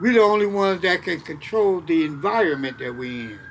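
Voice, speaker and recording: With noticeable noise in the background, a man's pitch swings very widely while he keeps a moderate pace. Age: 70s. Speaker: elder sharing life advice. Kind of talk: casual interview conversation. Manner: halting, repeats words.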